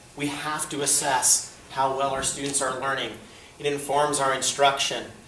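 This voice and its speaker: A man speaks over noticeable background noise, and the room echo is audible. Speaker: school administrator. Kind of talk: presentation to parents.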